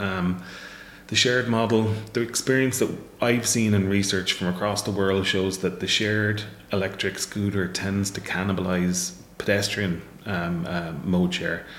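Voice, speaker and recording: Speaking at a moderate pace with an Irish accent, a man with a fairly low pitch and fairly even intonation is heard with audible room echo and noticeable background noise. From Ireland, Waterford. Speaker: professor. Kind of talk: interview.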